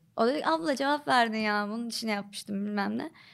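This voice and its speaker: Fairly quick and lively in intonation, a woman talks in a normal speaking voice at a fairly high pitch on a very clean recording with a silent background. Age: 20s. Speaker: TikTok comedy creator. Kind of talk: casual chat.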